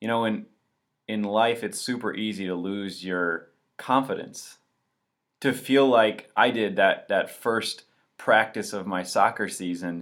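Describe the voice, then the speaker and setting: On a very clean recording with a silent background, a man talks fairly slowly in an American accent. He has an ordinary speaking voice with ordinary pitch variation. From northern Michigan. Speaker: pastor and podcast host. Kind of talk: casual faith podcast talk.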